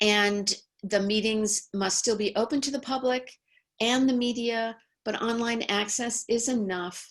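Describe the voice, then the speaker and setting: A woman with an American accent speaks at a fairly slow pace, with fairly even intonation and a fairly high pitch. It is a plain, everyday voice. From New York. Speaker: law professor. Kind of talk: webinar presentation.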